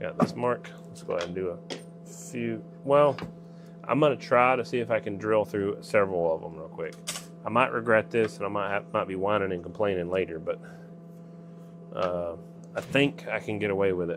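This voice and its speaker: Over noticeable background noise, a man with a Southern accent speaks in a relaxed tone at a moderate pace and a fairly low pitch, with very wide pitch swings and long, frequent pauses. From Georgia, US South. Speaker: livestreamer making antenna parts in workshop. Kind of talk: casual livestream chat while working. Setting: workshop, live stream. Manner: relaxed, folksy.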